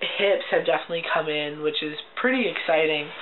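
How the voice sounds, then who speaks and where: A man's high-pitched voice sounds through noticeable background noise. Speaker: video blogger. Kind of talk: casual vlog. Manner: chatty, many fillers.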